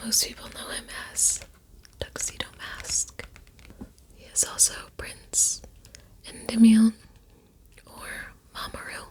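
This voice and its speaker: Someone whispers at a very slow pace, with long, frequent pauses. Noticeable background noise is present. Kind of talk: soft-spoken ASMR chitchat ramble about a favorite anime. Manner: soft-spoken, rambling, conversational.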